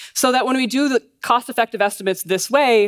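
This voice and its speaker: A woman talking fairly quickly against a quiet background. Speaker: conference speaker. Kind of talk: lecture. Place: stage. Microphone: headset.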